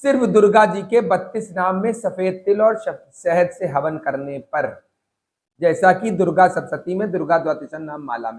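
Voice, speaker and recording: The tone is animated, with lively intonation. Loudness swings widely throughout. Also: man, high pitch for a man. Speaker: spiritual guide. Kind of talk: religious talk.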